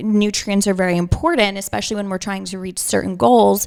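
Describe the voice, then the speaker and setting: In a Long Island accent, a woman speaks at a medium pitch with fairly even intonation. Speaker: holistic nutritionist. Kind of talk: interview. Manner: casual, filler-heavy.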